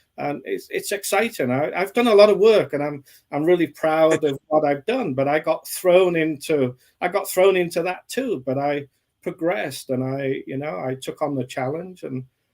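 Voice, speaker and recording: With an English accent, a man talks using lively intonation. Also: fairly high pitch for a man, moderate pace. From England. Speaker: author. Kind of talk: interview.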